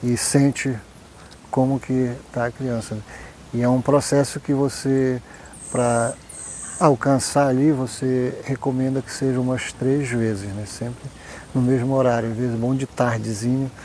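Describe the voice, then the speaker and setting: With long, frequent pauses, a man of medium pitch speaks at a fairly slow pace and with fairly even intonation. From Oriximiná, Pará, northern Brazil. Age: 40s. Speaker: traditional folk healer. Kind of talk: documentary interview testimony.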